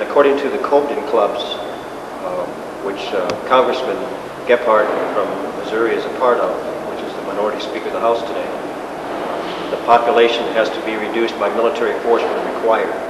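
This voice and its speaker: A man talking at a very fast pace amid loud background noise and audible room echo. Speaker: interviewee. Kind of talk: interview answer. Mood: earnest, assertive. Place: hall. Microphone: camera far.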